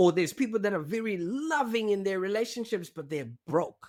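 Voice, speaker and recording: In a very clean recording with a silent background, a man with a non-native accent speaks at a moderate pace. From Zimbabwe. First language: not English. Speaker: digital marketing strategist. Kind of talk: podcast interview.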